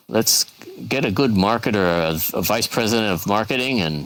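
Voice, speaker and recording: A man speaks with a fairly low pitch and ordinary pitch variation. Noticeable background noise runs through the clip. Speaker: event host in virtual world. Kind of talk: casual group discussion. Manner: hesitant, many fillers.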